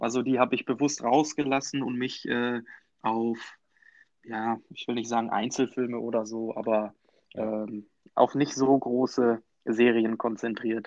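Against a quiet background, a man talks at a fairly slow pace in a monotone, flat intonation. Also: medium pitch for a man. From Münsterland, Germany. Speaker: podcast co-host, film fan. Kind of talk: casual chat.

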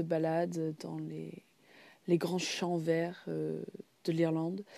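Very slow in pace, a woman speaks with a dark, mellow tone over a quiet background. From Ireland. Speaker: podcast host, history storyteller. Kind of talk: narrated history podcast, casual. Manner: frequent hesitations (euh).

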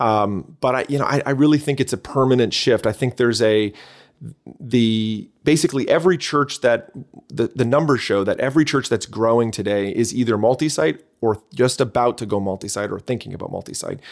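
In a very clean recording with a silent background, the speaker talks at a fairly quick pace with a slight Canadian accent and ordinary pitch variation. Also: man, medium pitch for a man. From Canada. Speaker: church leader and author.

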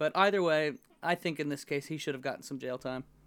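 A plain, everyday voice from a man with an American accent, fairly high pitch, ordinary pitch variation, and a fairly quick pace. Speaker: podcast co-host. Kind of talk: casual chat. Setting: remote recording.

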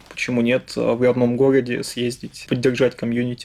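A man's monotone, flat intonation comes at a moderate pace against noticeable background noise. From Russia, Yaroslavl. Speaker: head of software development department. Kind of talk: interview.

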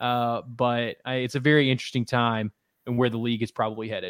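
Talking at a fairly quick pace, a man has a plain, everyday voice at a medium pitch. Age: 30s. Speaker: sports reporter. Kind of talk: casual interview chat.

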